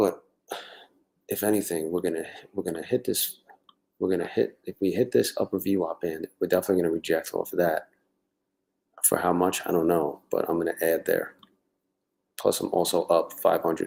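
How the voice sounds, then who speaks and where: Speaking quietly at a fairly quick pace, a man leaves long, frequent pauses. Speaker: livestreaming day trader. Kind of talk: live stream commentary. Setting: home at night, live stream. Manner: talking quietly; casual, halting.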